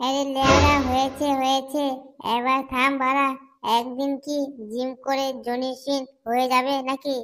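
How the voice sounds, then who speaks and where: In a cartoonish character voice, a woman talks fairly slowly at a high pitch with monotone, flat intonation. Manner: crude, jokey.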